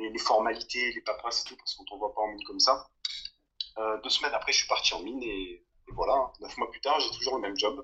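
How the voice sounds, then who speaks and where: A man talks at a very fast pace. His loudness rises and falls in big swings. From southern France. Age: 20s. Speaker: long-term traveller and mine worker. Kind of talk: casual chat. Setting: remote call.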